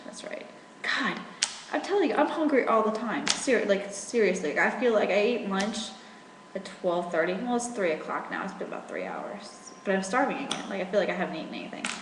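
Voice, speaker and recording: An American-accented woman speaks at a fairly quick pace, her pitch medium with ordinary variation. The recording carries noticeable background noise and audible room echo. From rural Virginia. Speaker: military spouse vlogger. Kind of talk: casual webcam vlog. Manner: rambling with fillers.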